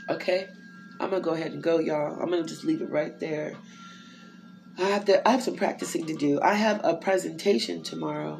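A woman talks at a fairly quick pace with an American accent. Noticeable background noise and audible room echo surround her voice. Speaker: inspirational podcaster. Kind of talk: devotional monologue. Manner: casual, conversational.

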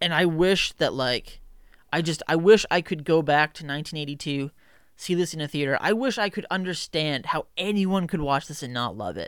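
The delivery is enthusiastic in tone and moderate in pace. It's a very clean recording with a silent background. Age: 20s. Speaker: film podcast host. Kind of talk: solo movie review podcast. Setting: in front of a camera. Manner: casual, enthusiastic.

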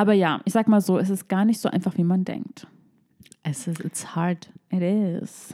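A woman's medium-pitched voice with a dark, mellow tone, fairly even intonation and a fairly slow pace. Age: 20s. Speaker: podcast host. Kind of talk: casual chat.

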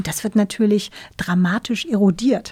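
On a very clean recording with a silent background, a woman with a medium pitch sounds somewhat breathy, with a dark, mellow tone. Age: 50s. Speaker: tech company CEO. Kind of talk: interview. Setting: studio. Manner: hesitant, many fillers.

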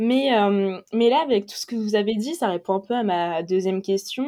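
Fairly high female pitch and a dark, mellow tone in a woman's voice. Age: 20s. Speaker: podcast host, fashion debate. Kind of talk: casual discussion.

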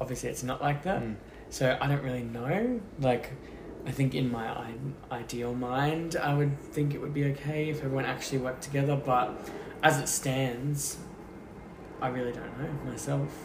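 An Australian accent at a moderate pace, with long, frequent pauses and noticeable background noise. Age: 20s. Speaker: podcast guest, friend of host. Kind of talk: casual chat.

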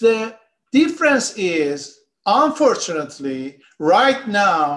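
This man's pitch makes very wide swings. He talks in a Persian accent. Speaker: economist and political activist. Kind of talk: political interview discussion. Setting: remote video call.

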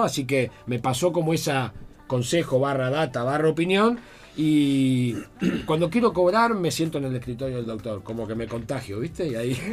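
Over noticeable background noise, a man speaks at a moderate pace in a fairly high voice with lively intonation. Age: 40s. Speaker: lawyer and comedian. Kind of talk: casual chat.

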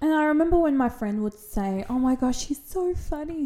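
A woman speaks at a fairly quick pace with an Australian accent and lively intonation. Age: 30s. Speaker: podcast co-host. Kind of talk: casual chat.

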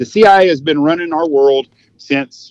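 A dry, close sound with no echo, ordinary pitch variation, and a Texan accent. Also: man. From Texas. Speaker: hunting outfitter. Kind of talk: casual chat. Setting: phone call.

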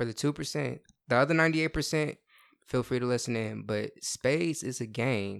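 On a very clean recording with a silent background, a man in a normal speaking voice talks at a medium pitch and moderate pace, with ordinary pitch variation. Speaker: host's younger brother. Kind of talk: casual chat.

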